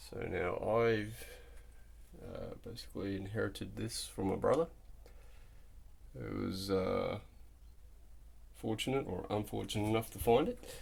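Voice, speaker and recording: A man with an Australian accent speaks at a fairly slow pace, leaving long, frequent pauses. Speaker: car enthusiast vlogger. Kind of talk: casual video walkthrough. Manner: casual with frequent fillers.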